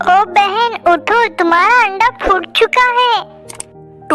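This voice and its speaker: A woman uses a cartoonish character voice at an extremely high pitch and a very slow pace. Clear music plays in the background. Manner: warm, sisterly.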